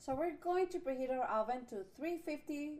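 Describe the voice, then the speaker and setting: With a Spanish accent, a woman speaks at a moderate pace using lively intonation. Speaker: cooking channel host. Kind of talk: cooking tutorial. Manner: casual, with fillers and hesitations.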